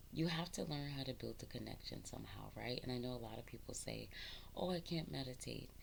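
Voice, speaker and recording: Speech rushes by at a very fast pace with audible room echo. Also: woman. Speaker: spiritual content creator. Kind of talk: casual spiritual talk to camera. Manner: halting, many ums; expressive, talks with her hands.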